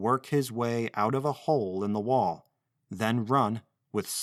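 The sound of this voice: There is an unforced reading voice with ordinary pitch variation over a quiet background.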